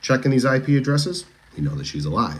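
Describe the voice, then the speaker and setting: A man with a Boston accent speaks with very wide pitch swings. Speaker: true crime livestreamer. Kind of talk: casual livestream commentary. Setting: TikTok livestream. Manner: animated, chatty.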